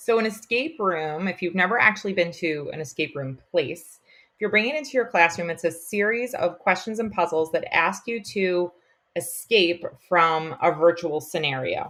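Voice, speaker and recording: The speaker uses lively intonation. The pace is moderate. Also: woman, medium pitch for a woman. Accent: Long Island. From US Northeast, Long Island, New York. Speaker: elementary school teacher. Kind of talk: podcast interview.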